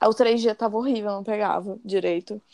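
A woman with a plain, everyday voice and a fairly high pitch talks at a moderate pace. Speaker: podcast host. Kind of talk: casual chat.

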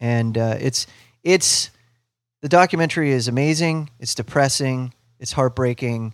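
Speaking with a Midwestern American accent, a man talks at a moderate pace and medium pitch, with ordinary pitch variation and long, frequent pauses. The recording is very clean, with a silent background. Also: dry, close sound with no echo. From US Midwest, Ohio near Cleveland. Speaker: musician and comedian, radio host. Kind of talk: casual chat.

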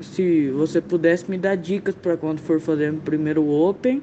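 This man has a dark, mellow tone. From Campo Grande, Mato Grosso do Sul, Brazil. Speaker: beginner comedian. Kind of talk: voice message.

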